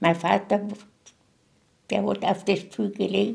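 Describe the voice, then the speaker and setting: A woman speaks here. Her pace is fairly slow. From Moravia. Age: 80s+. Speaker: contemporary witness. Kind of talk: interview. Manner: halting.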